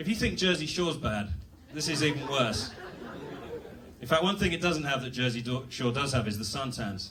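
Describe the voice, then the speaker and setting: With a British accent, a man talks at a fairly quick pace with lively intonation and long, frequent pauses, amid noticeable background noise and audible room echo. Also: fairly high pitch for a man. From England. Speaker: comedian. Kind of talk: stand-up. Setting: stage with audience. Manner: halting.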